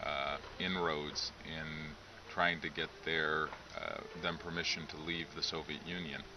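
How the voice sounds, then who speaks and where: With noticeable background noise behind him, a man speaks at a fairly slow pace in a very deep, low pitch and a monotone, flat intonation. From United States, Lithuanian-American family. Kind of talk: interview. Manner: hesitant, many fillers.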